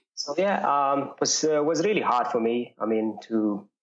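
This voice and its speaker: Here a man speaks at a fairly slow pace. His pitch variation is ordinary. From Jordan. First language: Arabic. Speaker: runner. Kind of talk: interview. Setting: podcast. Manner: halting, many fillers.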